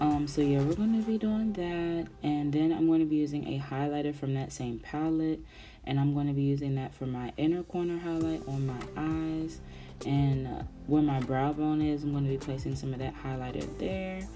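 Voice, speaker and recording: A woman speaks with audible room echo and music playing in the background. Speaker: beauty vlogger. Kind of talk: tutorial. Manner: fast; animated.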